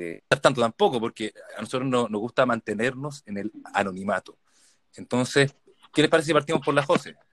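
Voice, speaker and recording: Talking at a fairly quick pace, a man with a Chilean accent and a medium pitch uses lively intonation. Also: dry, close sound with no echo. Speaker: podcast host. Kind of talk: casual chat.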